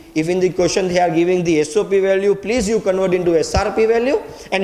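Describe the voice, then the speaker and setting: This man has a high pitch and ordinary pitch variation, speaking at a very fast pace. There is audible room echo along with noticeable background noise. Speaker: chemistry teacher. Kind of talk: lecture.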